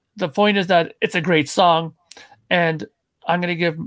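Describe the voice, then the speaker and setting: A man speaks at a high pitch. The recording is very clean, with a silent background. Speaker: panelist, guitar player. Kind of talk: casual chat. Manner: blunt, profane.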